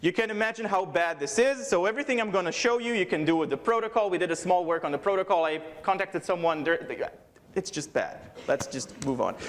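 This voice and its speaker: A man's high voice, fairly quick and lively in intonation, over noticeable background noise. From Israel. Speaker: security researcher. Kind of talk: conference talk. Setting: stage with audience. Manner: fast.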